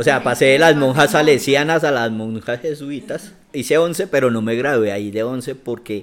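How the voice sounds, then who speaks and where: This is a normal speaking voice at a moderate pace with ordinary pitch variation. There are hardly any pauses. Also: man, medium pitch for a man. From Bogotá, Colombia. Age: 40s. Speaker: activist and cultural manager. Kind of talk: interview conversation.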